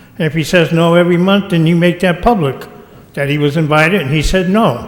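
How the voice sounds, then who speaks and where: With an American accent, a man speaks at a fairly high pitch with ordinary variation, amid audible room echo and noticeable background noise. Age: 60s. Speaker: citizen speaker at public meeting. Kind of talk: public comment at council meeting.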